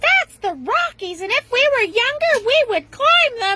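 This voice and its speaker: A female-sounding, put-on character voice comes through squeaky and warm in tone. It runs at a moderate pace with an extremely high pitch. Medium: read story. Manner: warm, chatty.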